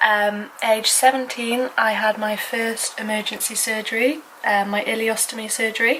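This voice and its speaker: A woman's fairly high voice, flat and monotone, at a fairly slow pace over noticeable background noise. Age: 20s. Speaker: vlogger. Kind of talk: casual vlog talk. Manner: halting.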